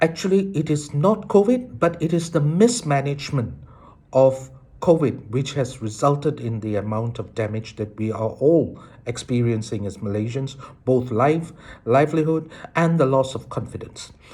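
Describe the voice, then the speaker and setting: The man's voice has a dark, mellow tone, comes across somewhat breathy, and moves with lively intonation. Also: medium pitch for a man, moderate pace. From Malaysia. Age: 60s. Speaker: citizen commentator. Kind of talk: political monologue.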